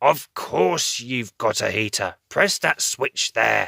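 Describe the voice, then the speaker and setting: A man growls at a very slow pace at medium pitch in a put-on character voice, recorded dry and close with no echo. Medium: read story.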